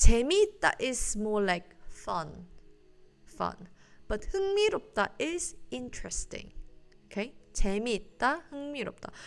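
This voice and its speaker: Over music in the background, a high-pitched woman with a Korean accent speaks at a fairly slow pace, with very wide pitch swings and big swings in loudness. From South Korea. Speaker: Korean language teacher. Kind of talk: live-stream language lesson. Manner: casual, hesitant with fillers.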